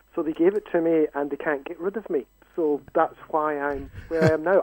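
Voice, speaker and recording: With a Scottish accent, a man talks at a high pitch and a moderate pace, keeping his intonation fairly even. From Scotland. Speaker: university education lecturer. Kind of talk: radio interview.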